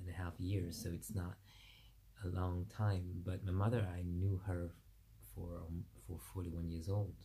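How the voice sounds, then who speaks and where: A somewhat breathy, dark, mellow voice at a moderate pace, monotone and flat, with long, frequent pauses. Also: man. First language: French. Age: 40s. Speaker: vlogger. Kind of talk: personal monologue vlog. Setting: video recorded to camera. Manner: halting.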